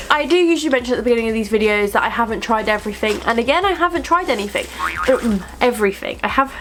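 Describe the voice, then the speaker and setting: Over noticeable background noise, a woman with a high pitch talks very fast with lively intonation. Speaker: beauty vlogger. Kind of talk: casual product review vlog.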